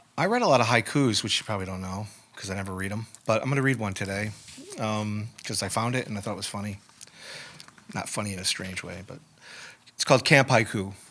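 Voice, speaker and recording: A man's fairly low voice at a very fast pace, with long, frequent pauses, big swings in loudness and noticeable background noise. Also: ordinary pitch variation. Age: 60s. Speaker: poet. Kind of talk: casual chat. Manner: halting.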